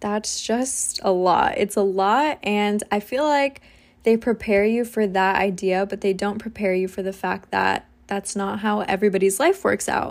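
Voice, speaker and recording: A woman with an American accent has an unremarkable speaking voice, medium in pitch with ordinary variation. She talks at a moderate pace on a very clean recording with a silent background. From US. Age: 20s. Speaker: podcaster and social media creator. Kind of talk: casual monologue.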